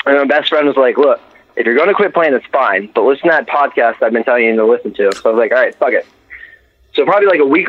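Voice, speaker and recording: A man talks very fast at a fairly high pitch. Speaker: caller, first-time, gamer and parent. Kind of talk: casual chat. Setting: online voice call.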